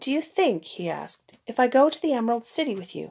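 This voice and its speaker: A woman with lively intonation talks at a moderate pace in a quiet background. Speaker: storyteller. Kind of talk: read-aloud storytelling. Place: home room. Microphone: phone near.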